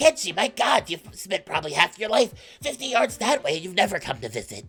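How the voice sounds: A woman uses a put-on character voice at a fairly quick pace, with a fairly bright tone and a slightly husky edge. Her pitch swings big, and faint music sits in the background. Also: medium pitch for a woman.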